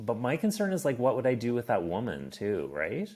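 A man talks with a Maritime Canadian accent. His voice sits at a medium pitch. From Nova Scotia, Canada. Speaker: stand-up comedian, former diplomat. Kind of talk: casual interview chat.

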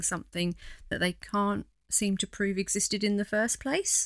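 On a very clean recording with a silent background and a dry, close sound with no echo, a woman speaks at medium pitch with fairly even intonation. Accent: East Anglian. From East Anglia (the Fens). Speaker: podcast host. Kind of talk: casual chat.

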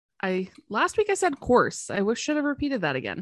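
In a bright, sharp tone, a woman speaks with a Canadian accent, recorded dry and close with no echo over a quiet background. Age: 30s. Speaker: podcast co-host. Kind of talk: casual chat.

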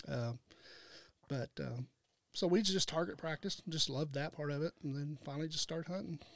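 Speaking at a fairly quick pace with long, frequent pauses, a man with an American accent and a fairly high pitch shows ordinary pitch variation in a dry, close sound with no echo. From southern Illinois, Wayne County. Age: 50s. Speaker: land real estate agent and outdoor products seller. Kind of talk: casual chat.

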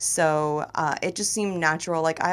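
In a very clean recording with a silent background, a woman with an American accent speaks in an unremarkable speaking voice, pitched fairly low with fairly even intonation. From Florida (Tampa). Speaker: comedian and sports radio host. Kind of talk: casual chat. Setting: studio.

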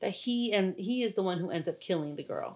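A normal speaking voice with an American accent comes through on a very clean recording with a silent background. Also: woman. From US, mostly Mexican neighborhood. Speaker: horror movie podcast co-host. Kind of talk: casual chat.

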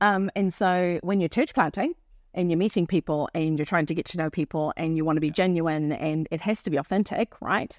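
A woman's plain, everyday voice, fairly low with ordinary pitch variation and a fairly quick pace, in a dry, close sound with no echo on a very clean recording with a silent background. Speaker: missionary and church planter. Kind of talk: casual interview conversation. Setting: mobile studio, on location.

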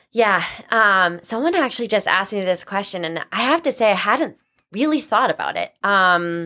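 Bright, sharp tone from a woman with an American accent. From Massachusetts, North Attleboro (Boston area). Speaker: ice cream company co-founder, former nurse. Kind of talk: interview.

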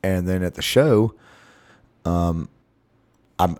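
Recorded very cleanly against a silent background, the voice has a dark, mellow tone and ordinary pitch variation. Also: man. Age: 30s. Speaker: musician. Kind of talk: casual chat.

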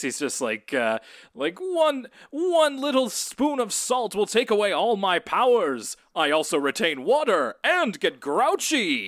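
Using a put-on character voice, a man speaks high with very wide pitch swings, on a very clean recording with a silent background. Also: fairly slow pace. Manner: cartoonish, comic, heroic.

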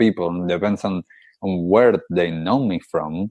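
Very deep and low, a man's voice moves at a moderate pace. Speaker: podcast host. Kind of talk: casual interview chat.

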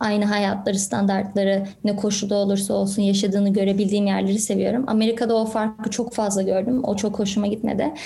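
A woman speaks at a fairly quick pace with a fairly high pitch and a dark, mellow tone. Her voice is somewhat breathy, and audible room echo surrounds it. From Canada (Toronto), from primary school. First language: English-dominant (Turkish heritage) (speaking Turkish). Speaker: real estate agent and entrepreneur. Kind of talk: podcast interview.

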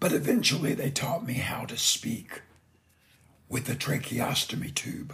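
Through noticeable background noise, a man can be heard whispering at a fairly slow pace. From Indiana, US. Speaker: lawn care business owner, podcaster. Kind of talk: scripted personal story, solo podcast.

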